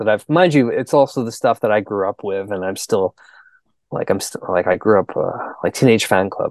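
A man in an unremarkable speaking voice, with a Canadian accent, speaks at a moderate pace and a fairly low pitch with ordinary pitch variation, in a dry, close sound with no echo against a quiet background. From Canada. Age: 40s. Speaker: musician. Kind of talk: casual chat.

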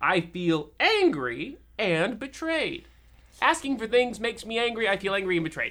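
The speaker puts on a character voice. Its pitch jumps in very wide swings. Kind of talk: comic overacting. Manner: sweetly polite then resentful.

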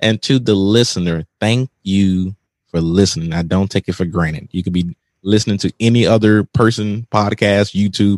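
A man with a normal speaking voice talks at fairly low pitch and moderate pace. His intonation is fairly even, and the sound is dry and close with no echo. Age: 30s. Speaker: podcast host. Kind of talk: casual interview chat.

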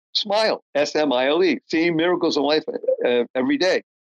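A man with an American accent, fairly high in pitch, at a moderate pace with very wide pitch swings, in a dry, close sound with no echo. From Boston area, US. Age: 70s. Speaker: author and motivational speaker. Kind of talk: interview conversation. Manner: animated.

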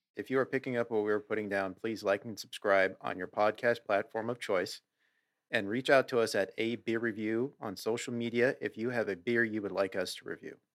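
A man's unremarkable speaking voice at medium pitch, with an American accent, fairly even intonation and a fairly quick pace. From US Pacific Northwest. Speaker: beer podcast co-host. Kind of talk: casual chat.

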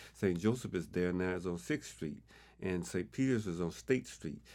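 A man speaks with a Southern US accent in a very deep, low pitch. The recording is very clean, with a silent background. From Arkansas, Pine Bluff. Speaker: community elder. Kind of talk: interview.

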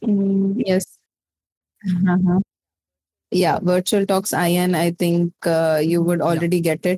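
A woman with an Indian accent, at a fairly slow pace, her tone dark and mellow, in a dry, close sound with no echo. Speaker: VTuber content creator. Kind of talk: casual interview.

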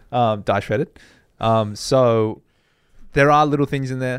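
Speaking at a fairly quick pace, a man with an Australian accent shows ordinary pitch variation. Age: 30s. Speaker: fitness podcast host. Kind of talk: casual chat.

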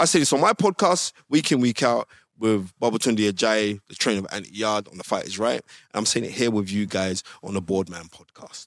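On a very clean recording with a silent background, a man with a South London accent talks at a fairly quick pace in an animated tone. The sound is dry and close, with no echo. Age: 40s. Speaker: boxing historian and pundit. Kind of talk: casual chat.

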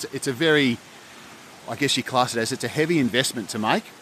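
An Australian-accented man speaks very fast at a medium pitch with ordinary pitch variation, over noticeable background noise. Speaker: lawn equipment company rep.

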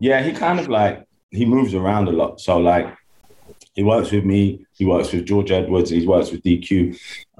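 This man has a fairly low pitch and a dark, mellow tone. He speaks with a London accent. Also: ordinary pitch variation, moderate pace. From London, England. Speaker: American football coach. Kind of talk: interview. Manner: halting, filler-heavy.

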